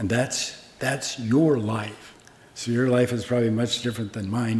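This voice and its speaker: There is noticeable background noise as a man speaks at a moderate pace with an American accent. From US Midwest, Omaha, Nebraska. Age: 80s+. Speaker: Zen master, Buddhist monk teacher. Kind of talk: dharma talk with questions and answers. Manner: casual, conversational.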